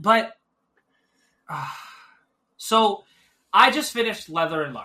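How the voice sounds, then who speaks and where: A man projects his raised voice in a high pitch with a bright, sharp tone. His pitch swings very widely at a fairly slow pace. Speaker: podcast co-host. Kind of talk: casual chat. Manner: mumbling; slower-paced.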